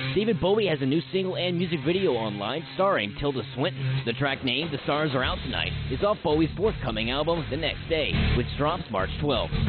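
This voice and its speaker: With clear music in the background, a man speaks at a fairly quick pace with hardly any pauses, in a dry sound with no echo. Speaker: radio DJ; soldier. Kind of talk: music news read. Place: studio.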